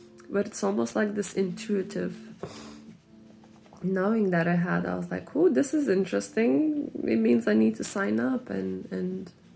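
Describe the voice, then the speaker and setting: Music is audible in the background. A woman speaks at a moderate pace. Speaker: self-development vlogger. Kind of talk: personal reflective monologue. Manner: halting.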